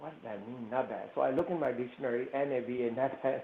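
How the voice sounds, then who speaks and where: A man with a non-native accent talks at a moderate speed. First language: not English. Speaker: panelist, immigrant business owner. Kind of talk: personal anecdote in panel discussion.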